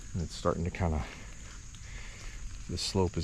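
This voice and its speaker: A man talks with vocal fry. His pitch variation is ordinary. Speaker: bowhunter and outdoor video host. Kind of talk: walk-and-talk hunting vlog. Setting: outdoors in timber on a bluff. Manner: whispering at times.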